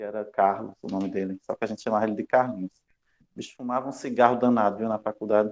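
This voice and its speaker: A man speaks at a very fast pace in a fairly low pitch. His intonation is monotone and flat, with big swings in loudness. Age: 30s. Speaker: university lecturer. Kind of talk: lecture. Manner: casual, joking.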